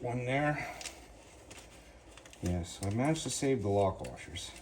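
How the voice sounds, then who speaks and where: Over noticeable background noise, the speaker talks at a fairly slow pace with lively intonation. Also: man. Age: 60s. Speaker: car restorer / garage youtuber. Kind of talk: work-along tutorial. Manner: casual, talking to himself while working.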